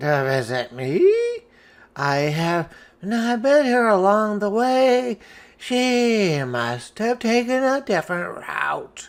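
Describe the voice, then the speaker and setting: A put-on character voice, fairly high in pitch, swings very widely up and down. The delivery is fairly slow with long, frequent pauses. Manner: feigned surprise.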